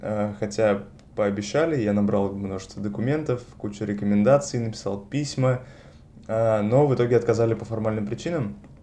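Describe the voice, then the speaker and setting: A man's dark, mellow tone carries audible room echo. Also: ordinary pitch variation, moderate pace. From Russia, Saint Petersburg. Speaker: master's student in neuroscience. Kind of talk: interview.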